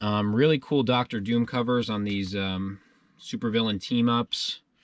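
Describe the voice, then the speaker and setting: A man with a medium pitch speaks at a moderate pace in a normal speaking voice. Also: fairly even intonation. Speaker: collectibles dealer and YouTuber. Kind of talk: casual haul video narration.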